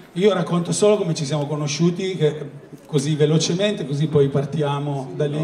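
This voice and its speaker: Over light background noise and with audible room echo, a man speaks at a fairly quick pace in a fairly high voice with ordinary pitch variation. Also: long, frequent pauses. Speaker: interviewer. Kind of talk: casual interview. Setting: live event with audience. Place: hall.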